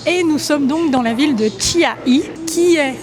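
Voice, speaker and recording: A woman's voice with ordinary pitch variation and noticeable background noise. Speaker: travel vlogger. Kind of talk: travel vlog narration.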